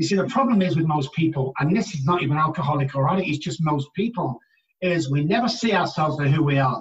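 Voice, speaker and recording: In an English accent, a man talks at a very fast pace with a fairly high pitch and ordinary pitch variation. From England. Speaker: addiction treatment specialist. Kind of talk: interview.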